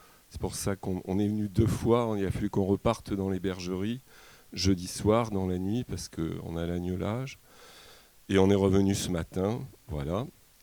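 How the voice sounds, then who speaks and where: The voice has a dark, mellow tone and fairly even intonation, at a moderate pace. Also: man, fairly low pitch for a man. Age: 60s. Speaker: shepherd and livestock farmer. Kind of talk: public talk at a debate. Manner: halting, many hesitations.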